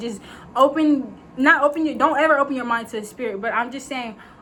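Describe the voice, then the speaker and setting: The talking moves at a fairly quick pace. Background noise is noticeable. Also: woman. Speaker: faith vlogger. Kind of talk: casual vlog monologue. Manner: fast; rambling, filler-heavy.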